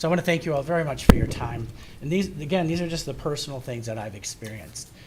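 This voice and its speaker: A man with fairly high pitch at a very fast pace, with lively intonation and big swings in loudness, amid audible room echo and noticeable background noise. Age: 60s. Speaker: resident speaking at public comment. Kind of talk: public comment at township meeting. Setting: township hall meeting.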